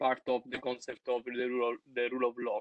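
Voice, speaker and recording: A man at medium pitch with an Italian accent, in a dry, close sound with no echo. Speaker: seminar participant. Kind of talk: reading aloud. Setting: video call. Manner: halting.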